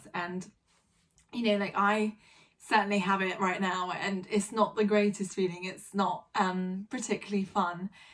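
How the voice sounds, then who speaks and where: Her voice sits at a medium pitch, and this woman speaks at a moderate pace with a monotone, flat intonation. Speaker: vlogger. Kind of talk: casual vlog monologue. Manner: hesitant, many fillers.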